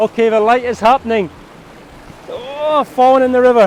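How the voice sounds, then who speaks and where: Shouting in an excited tone, a man speaks at a moderate pace with noticeable background noise. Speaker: landscape photographer. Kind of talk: vlog narration. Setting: outdoors. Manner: excited shouting.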